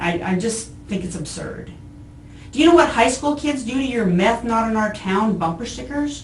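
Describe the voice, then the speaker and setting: Lively in intonation and fairly high in pitch, a woman speaks at a moderate pace with audible room echo and noticeable background noise. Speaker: arrested woman. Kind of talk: police interview. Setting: jail interview room. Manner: loud.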